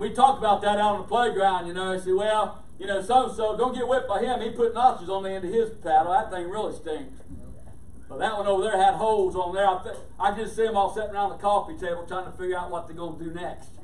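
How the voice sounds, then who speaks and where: At a very fast pace, the voice varies its pitch in an ordinary way and swings widely in loudness, with audible room echo. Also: man, high pitch for a man. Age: old. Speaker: pastor. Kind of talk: sermon. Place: church.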